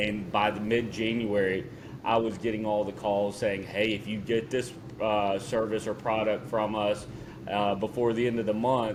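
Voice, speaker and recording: With a Southern US accent, the speaker talks at a moderate pace in a flat monotone. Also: man. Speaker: podcast co-host. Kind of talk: casual chat.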